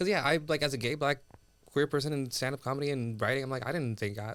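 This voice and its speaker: With an American accent, a man rattles along at a very fast pace, his medium pitch carrying ordinary variation. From US, raised from age three after Sudan. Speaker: comedian and TV writer. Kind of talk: casual chat.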